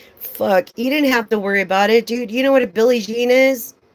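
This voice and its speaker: A woman talks in an animated tone at a moderate pace. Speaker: tarot reader. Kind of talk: live stream tarot reading with casual chat. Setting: live stream.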